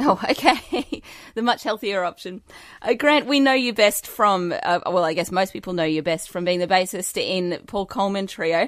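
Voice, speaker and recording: At a moderate pace, a woman talks with lively intonation at a medium pitch. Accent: Australian. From Australia. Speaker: radio host. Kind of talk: radio interview.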